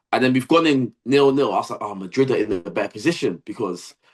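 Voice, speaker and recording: A man's animated, fairly high-pitched voice. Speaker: football podcast host. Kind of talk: casual chat.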